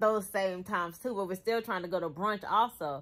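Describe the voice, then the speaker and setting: Pitch variation is ordinary. The speaker is a woman. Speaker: vlogger. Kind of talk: casual vlog chat. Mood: amused, laughing storytelling. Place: home room. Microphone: phone near.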